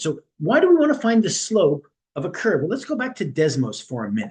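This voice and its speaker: Speaking at a fairly quick pace, a man delivers the clip. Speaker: math teacher. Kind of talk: tutorial. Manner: fast.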